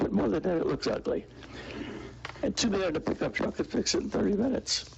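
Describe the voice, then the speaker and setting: A man talks very fast while noticeable background noise carries on. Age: 80s+. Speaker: resident giving public comment. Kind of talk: public comment at meeting. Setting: city commission meeting. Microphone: mic too far, needs to be closer.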